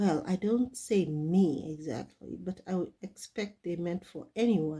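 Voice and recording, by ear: Pitch varies in an ordinary way as the speaker is reading aloud in a natural voice.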